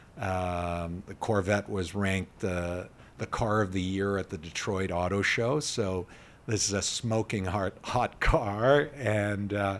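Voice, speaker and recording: A man with a Canadian accent speaks very slowly in a fairly low voice with ordinary pitch variation. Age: 50s. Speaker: charity executive. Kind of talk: interview. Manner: hesitant fillers.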